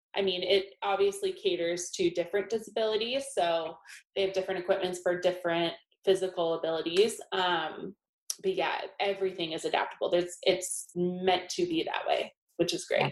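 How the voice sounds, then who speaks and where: A woman with an American accent talks at a moderate pace and a medium pitch. Her intonation is monotone and flat. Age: 20s. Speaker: interior designer. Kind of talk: interview.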